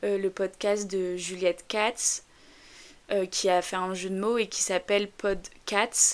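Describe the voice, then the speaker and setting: A woman speaks very slowly at a medium pitch in a slight northern French accent. Her intonation stays monotone and flat. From northern France. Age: 20s. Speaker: podcaster. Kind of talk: casual monologue. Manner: hesitant, many fillers.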